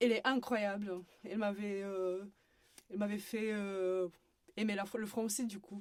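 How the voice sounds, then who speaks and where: At a fairly slow pace and medium pitch, a woman with a Romanian accent speaks in monotone, flat intonation, leaving long, frequent pauses. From Romania, Bucharest. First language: Romanian (speaking French). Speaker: university student. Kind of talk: podcast interview. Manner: hesitant.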